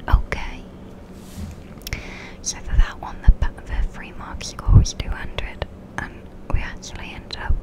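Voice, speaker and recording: A woman whispering at a fairly slow pace, over noticeable background noise. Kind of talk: ASMR gameplay commentary. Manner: soft-spoken; slight lisp.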